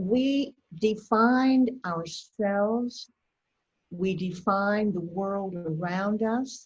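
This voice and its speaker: A woman's somewhat breathy, medium-pitched voice at a very slow pace with ordinary pitch variation. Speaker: educator on touch for caregivers. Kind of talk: lecture. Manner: soft-spoken. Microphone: too quiet.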